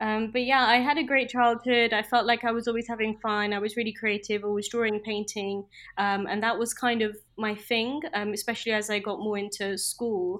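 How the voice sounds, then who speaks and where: A woman's fairly high, flat, monotone voice in a British accent, at a fairly quick pace. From UK. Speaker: junior doctor turned product manager. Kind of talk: casual interview.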